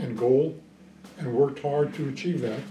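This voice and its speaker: A man speaks with ordinary pitch variation. Music plays in the background. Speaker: retired Army colonel, Vietnam veteran. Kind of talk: interview answer. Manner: hesitant, reflective. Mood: reflective, calm.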